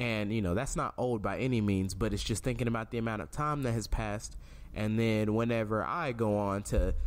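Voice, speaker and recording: A man's fairly low voice, ordinary pitch variation, fairly quick pace, audible room echo. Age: 20s. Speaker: podcast host. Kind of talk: casual chat.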